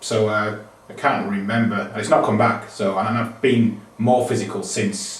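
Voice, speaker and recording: Heard through audible room echo and noticeable background noise, a man with a British accent speaks in a flat monotone. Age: 40s. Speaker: yoga student. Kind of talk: testimony. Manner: fast.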